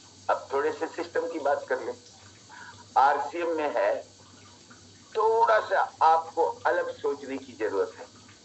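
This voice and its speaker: A man with long, frequent pauses and big swings in loudness, against noticeable background noise. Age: 60s. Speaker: network marketing motivational speaker. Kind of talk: motivational business talk. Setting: video call.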